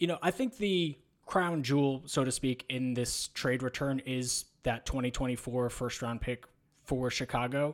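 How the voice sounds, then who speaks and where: A man speaks slowly, at a fairly slow pace, in an unremarkable speaking voice. His pitch is medium, with ordinary pitch variation. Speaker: basketball podcast co-host. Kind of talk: casual sports discussion.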